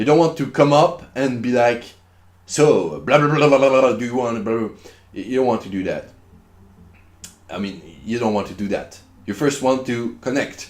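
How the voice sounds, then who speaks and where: In a French accent, a man talks at a moderate pace with a medium pitch and ordinary pitch variation. He takes long, frequent pauses. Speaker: online business vlogger. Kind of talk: casual vlog tutorial. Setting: at home. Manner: casual, repetitive.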